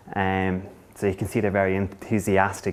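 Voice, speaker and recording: At a moderate pace, a man with an Irish accent speaks in a fairly low pitch. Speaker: council economic development coordinator. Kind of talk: conference presentation. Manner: halting.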